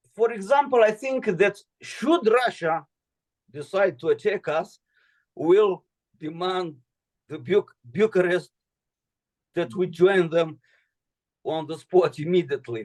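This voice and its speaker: In a dry, close recording with no echo, a man with a high voice talks at a fairly slow pace, with lively intonation and long, frequent pauses. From Moldova. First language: Romanian. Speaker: political commentator. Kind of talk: video call Q&A with students. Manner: halting, many fillers.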